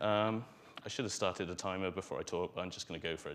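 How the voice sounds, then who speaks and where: Fairly even intonation in a Welsh accent. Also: man. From Wales. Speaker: conference speaker, software author. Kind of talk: conference talk. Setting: stage with audience. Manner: hesitant, many fillers.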